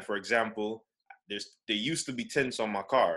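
A man's bright, sharp voice at medium pitch, fairly quick in pace, with fairly even intonation. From Saint Lucia. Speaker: podcast panelist. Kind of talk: casual chat.

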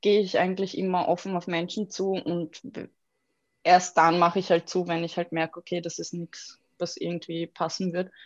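At a fairly slow pace, a woman with an unremarkable speaking voice and medium pitch talks against a quiet background. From Austria, Vienna. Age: 20s. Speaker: graphic designer. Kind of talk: interview conversation.

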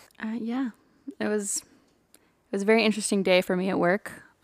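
A woman with a Texan accent, in a very clean recording with a silent background. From Central Texas. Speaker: podcast co-host, medical student. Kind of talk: casual chat.

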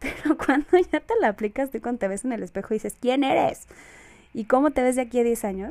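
A woman rattles off her words very fast, her high voice rising and falling in an ordinary way. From Mexico. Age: 20s. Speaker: podcast host. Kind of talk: solo casual monologue. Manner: halting, many fillers and repetitions.

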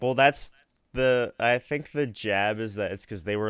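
The speaker is a man keeping a moderate pace. His voice sounds dry and close, free of echo. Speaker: podcast co-host. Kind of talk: casual chat.

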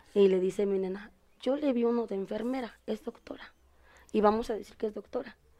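Her pitch is fairly high for a woman. She speaks at a moderate pace. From Puebla, Mexico. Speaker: exotic dancer. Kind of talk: casual chat.

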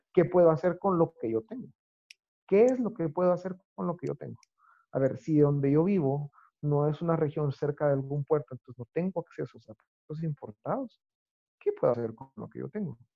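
A man with an ordinary speaking voice talks at a fairly quick pace and fairly high pitch, with big swings in loudness. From Guatemala. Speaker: chef. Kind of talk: interview conversation.

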